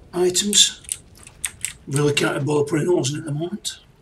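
Noticeable background noise is present throughout. Over it, a man keeps a moderate pace. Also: long, frequent pauses. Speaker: gaming video creator. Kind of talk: gameplay commentary. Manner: casual, thinking aloud.

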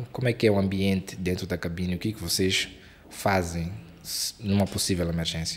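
A man with a very deep, low pitch talks at a fairly quick pace with fairly even intonation, yet with long, frequent pauses. Light background noise can be heard. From Mozambique. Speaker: aviation YouTuber and podcast host; aviation YouTuber, podcast host. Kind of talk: interview. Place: studio. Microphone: studio mic.

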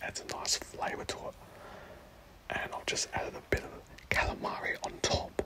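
Noticeable background noise fills the clip. A whisper comes through at a moderate pace. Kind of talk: ASMR food commentary, casual talk to camera. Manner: whispered, soft.

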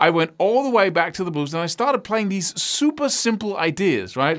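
A man at a fairly quick pace with very wide pitch swings against a quiet background. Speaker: guitar teacher. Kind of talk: tutorial. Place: studio.

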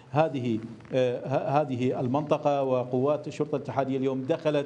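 With a monotone, flat intonation, this man talks at a moderate pace. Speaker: news correspondent. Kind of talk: live news report. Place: studio.

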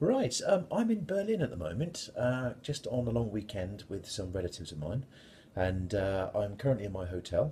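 A man's somewhat breathy voice with a dark, mellow tone, at a fairly quick pace over light background noise. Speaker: beer reviewer. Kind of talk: casual vlog chat. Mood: relaxed, friendly. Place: home room. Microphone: phone near.

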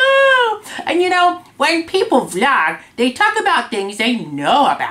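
In a cartoonish character voice, the speaker goes extremely high in pitch with very wide pitch swings at a fairly slow pace. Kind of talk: casual talk to camera. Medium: puppet. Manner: upbeat.

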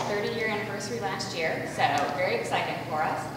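Strong room echo and noticeable background noise surround a woman speaking at a fairly quick pace. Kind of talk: interview answer. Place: hall.

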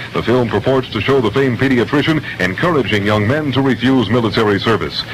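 Very fast speech with ordinary pitch variation and very even loudness over noticeable background noise. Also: man. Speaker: radio newscaster. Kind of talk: radio news read. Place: studio. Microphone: old recording.

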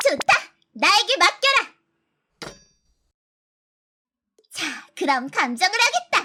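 An extremely high put-on character voice moves at a very slow pace, with very wide pitch swings and long, frequent pauses. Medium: audio drama. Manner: archaic, commanding speech.

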